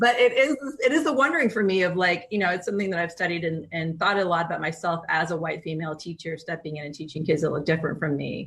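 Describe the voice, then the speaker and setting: In an American accent, the speaker talks at a very fast pace with hardly any pauses and ordinary pitch variation. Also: woman, fairly low pitch for a woman. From East Bay, California. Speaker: teacher and podcast host. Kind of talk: podcast interview.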